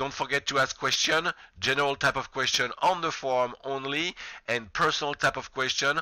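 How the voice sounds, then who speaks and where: Recorded dry and close with no echo, a man with a non-native accent and a fairly high voice talks at a moderate pace. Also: fairly even intonation. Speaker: college professor. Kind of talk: lecture.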